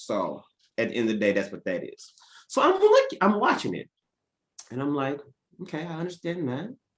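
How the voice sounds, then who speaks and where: With a high pitch, very wide pitch swings and big swings in loudness, a man speaks in an animated tone at a moderate pace, leaving long, frequent pauses. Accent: American. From Oklahoma, US. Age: 30s. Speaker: entrepreneur and business coach. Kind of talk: casual podcast discussion.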